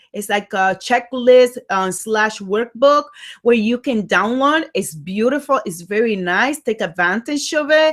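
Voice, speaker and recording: A woman with a strong Dominican accent speaks at a fairly high pitch with lively intonation. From Dominican Republic. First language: Spanish. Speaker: life coach. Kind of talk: motivational talk. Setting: livestream. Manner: animated.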